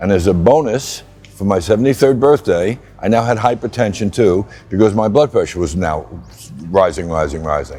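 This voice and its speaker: A man speaks at a moderate pace with a fairly low pitch. His intonation is lively, and music plays in the background. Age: 70s. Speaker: patient, actor and producer. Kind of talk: personal testimony interview.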